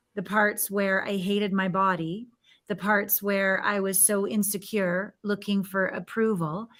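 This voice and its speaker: On a very clean recording with a silent background, a woman uses a normal speaking voice at a medium pitch and a fairly slow pace. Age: 50s. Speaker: intimacy coach. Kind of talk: interview.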